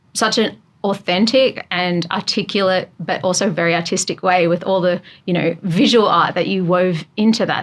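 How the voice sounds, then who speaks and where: The speaker has an Australian accent and fairly even intonation. The pace is moderate. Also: woman. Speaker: podcast host. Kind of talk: interview conversation.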